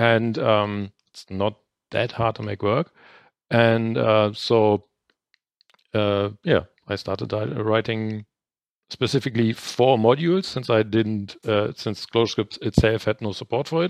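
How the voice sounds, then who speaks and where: With a German accent, the speaker goes at a fairly slow pace in a dry, close sound with no echo and a quiet background. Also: man, medium pitch for a man, ordinary pitch variation. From northern Germany. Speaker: independent programmer. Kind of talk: casual interview chat.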